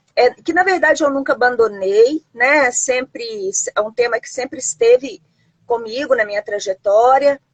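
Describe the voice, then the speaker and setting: A fairly slow pace in a dry, close sound with no echo. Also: woman. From Brazil, Minas Gerais (Belo Horizonte). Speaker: historian and university professor. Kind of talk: live-stream interview. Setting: Instagram live video stream. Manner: halting, many fillers and repetitions.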